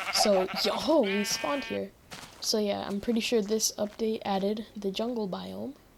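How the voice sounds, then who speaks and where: Speaking fairly slowly, a woman with a medium-pitched voice and ordinary pitch variation is heard through noticeable background noise. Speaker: gaming youtuber. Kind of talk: gameplay commentary. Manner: casual, rambling.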